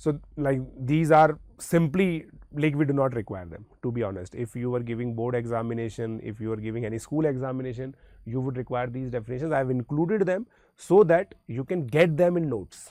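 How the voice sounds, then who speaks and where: Lively in intonation, a man with an Indian accent speaks at a fairly quick pace. His voice sits at a medium pitch with a dark, mellow tone. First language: Hindi. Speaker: maths teacher. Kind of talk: lecture.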